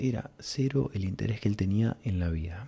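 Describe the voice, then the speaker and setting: A man's somewhat breathy, dark, mellow voice, fairly low in pitch, with very wide pitch swings and a fairly slow pace. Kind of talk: soft-spoken ASMR storytelling. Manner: soft-spoken, whispery.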